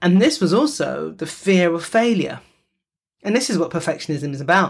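With an animated tone and lively intonation, a woman speaks with vocal fry. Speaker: psychotherapist and podcaster. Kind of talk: solo podcast monologue, personal sharing. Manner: informal, chatty, animated with laughs.

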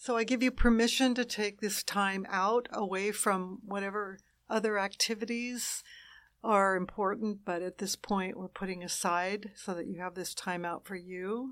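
At a fairly slow pace, a woman with a medium pitch and fairly even intonation speaks in an ordinary speaking voice. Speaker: meditation guide. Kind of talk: guided meditation. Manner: slow, soothing, calm; gentle, unhurried, with long pauses.

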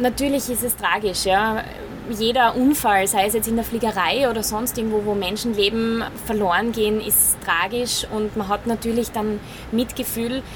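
A woman with fairly even intonation speaks at a fairly high pitch, noticeable background noise behind her. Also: moderate pace. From Styria, Austria. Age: 30s. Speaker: airline first officer. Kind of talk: interview. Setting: flight simulator.

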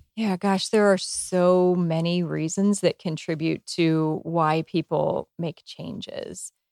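In a very clean recording with a silent background and a dry, close sound with no echo, a woman with an American accent speaks at a very slow pace with hardly any pauses. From small-town US. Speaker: HR executive. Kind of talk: interview. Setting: in person at company headquarters.

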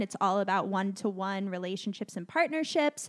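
Her delivery is animated, a woman speaking with lively intonation. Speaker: podcast host. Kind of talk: casual chat. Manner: animated, chatty.

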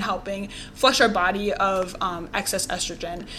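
A woman talks at a moderate pace and medium pitch with monotone, flat intonation, with audible room echo and noticeable background noise. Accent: American. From Wisconsin. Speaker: eatery founder and nutrition coach. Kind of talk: casual interview chat.

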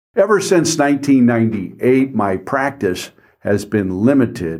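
With a US Midwestern accent, a man talks at a fairly slow pace, his pitch swinging very widely. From Ohio, US Midwest. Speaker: estate planning attorney. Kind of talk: podcast monologue.

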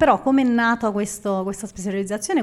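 This woman has an unremarkable speaking voice at a medium pitch. She talks at a fairly quick pace with ordinary pitch variation. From Naples, Italy. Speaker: food photographer. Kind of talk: live podcast interview. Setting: live audience at a café venue.

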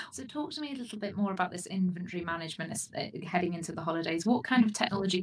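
A woman's fairly low voice at a very fast pace, lively intonation and noticeable background noise. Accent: British. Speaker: podcast host. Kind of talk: interview, professional chat.

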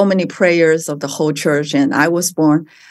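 With a Mandarin accent, a woman talks with ordinary pitch variation over a quiet background. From China. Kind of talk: interview. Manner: halting.

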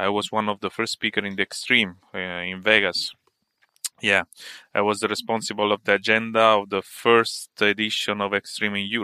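Recorded very cleanly against a silent background, with a dry, close sound and no echo, a man with an Italian accent speaks at a moderate pace in a bright, sharp, fairly low-pitched voice. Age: 40s. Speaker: tech entrepreneur and consultant. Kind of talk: casual interview. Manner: halting, many fillers.

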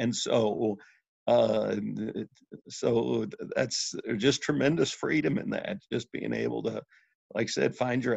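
A man with a Midwestern American accent at a fairly slow pace. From Missouri, St. Louis area. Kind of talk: faith testimony in interview.

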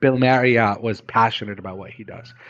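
Words pour out of a man at a very fast pace. He sounds animated. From Middle East. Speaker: hotel operator and investor. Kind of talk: interview.

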